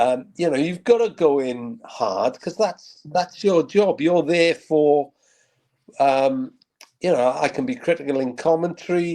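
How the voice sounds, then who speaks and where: With a Welsh accent, this man speaks at a fairly slow pace in a high voice, his dark, mellow tone sweeping through very wide pitch swings. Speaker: football radio commentator. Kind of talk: interview.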